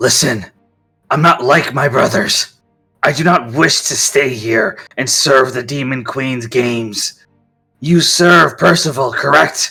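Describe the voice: A raspy, put-on character voice speaks at a fairly slow pace over faint music in the background. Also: man, medium pitch for a man.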